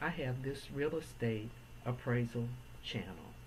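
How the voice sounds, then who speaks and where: A woman with a very deep, low pitch and vocal fry speaks at a fairly slow pace with ordinary pitch variation, and the room echo is audible. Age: 70s. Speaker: real estate appraiser. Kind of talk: educational talk to camera.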